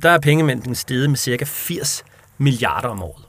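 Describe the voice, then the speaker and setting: A man with a medium pitch talks at a moderate pace, showing vocal fry. The recording is very clean with a silent background. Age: 30s. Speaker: chair of a monetary reform association. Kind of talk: interview. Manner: hesitant with fillers.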